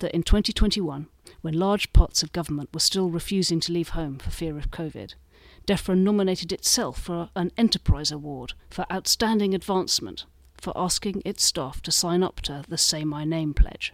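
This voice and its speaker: A woman speaks with a British accent at a fairly low pitch. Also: ordinary pitch variation, moderate pace. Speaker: magazine columnist. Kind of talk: reading aloud.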